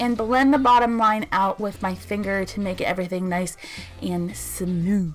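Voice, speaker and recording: A woman is talking. Noticeable background noise is present. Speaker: beauty youtuber. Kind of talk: tutorial. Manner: stumbling over words at times.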